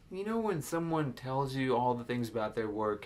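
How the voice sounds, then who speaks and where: Lively intonation marks a man's medium-pitched voice as he speaks at a moderate pace. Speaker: hiring advice presenter. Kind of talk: casual talk to camera.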